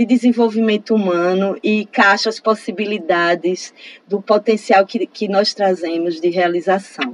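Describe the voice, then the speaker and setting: Dry and close with no echo, the sound carries a woman's normal speaking voice at a fairly high pitch. She talks at a fairly slow pace with ordinary pitch variation. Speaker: professor and researcher. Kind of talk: interview.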